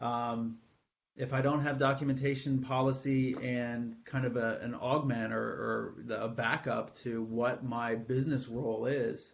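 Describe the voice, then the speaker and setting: At a fairly slow pace, a man speaks in a medium-pitched voice with monotone, flat intonation. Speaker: IT supervisor giving presentation. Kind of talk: webinar presentation.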